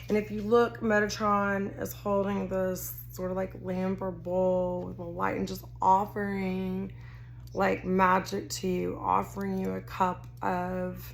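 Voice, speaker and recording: A woman with a Texas accent speaks at a very slow pace. The room echo is audible. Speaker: tarot card reader. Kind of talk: tarot reading to camera. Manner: casual, rambling with self-corrections.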